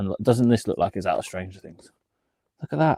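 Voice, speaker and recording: A man speaks with a British accent in a dark, mellow tone. The sound is dry and close, with no echo. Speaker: reseller streamer. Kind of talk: live stream casual chat. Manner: animated.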